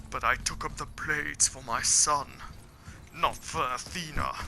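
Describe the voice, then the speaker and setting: A man uses a put-on character voice at a moderate pace. Background noise is clearly heard. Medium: game stream. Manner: growling, theatrical.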